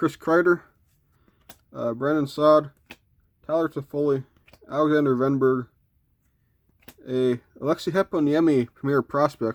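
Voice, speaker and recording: A man's fairly high voice at a moderate pace, with fairly even intonation and long, frequent pauses, in a dry, close sound with no echo. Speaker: hockey card collector, box break video host. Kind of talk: casual card-opening commentary.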